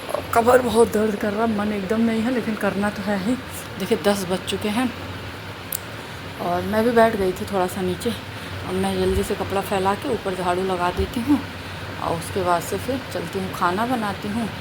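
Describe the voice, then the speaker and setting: Soft-spoken, a woman talks at a medium pitch with fairly even intonation, amid noticeable background noise and audible room echo. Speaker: family vlogger. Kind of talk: casual vlog talk. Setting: at home. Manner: soft-spoken, quiet.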